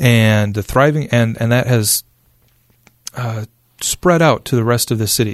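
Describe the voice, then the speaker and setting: At a moderate pace, the voice comes in an Upper Midwest accent with a dry, close sound and no echo. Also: man. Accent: Upper Midwest American. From West Michigan (Spring Lake). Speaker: downtown development official. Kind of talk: interview. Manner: halting, many fillers.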